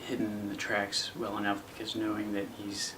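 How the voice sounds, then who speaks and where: A soft-spoken man with a fairly low pitch talks at a fairly slow pace over noticeable background noise. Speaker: actor. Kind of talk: casual talk to camera. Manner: quiet, soft-spoken.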